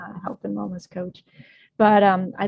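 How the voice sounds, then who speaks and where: A woman speaks in a somewhat breathy voice. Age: 60s. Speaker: health and wellness coach. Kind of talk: interview.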